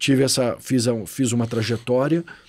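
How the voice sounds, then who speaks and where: A man talks at a medium pitch and a fairly slow pace in a normal speaking voice. The recording is very clean, with a silent background. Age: 40s. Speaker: financial education specialist. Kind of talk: podcast interview.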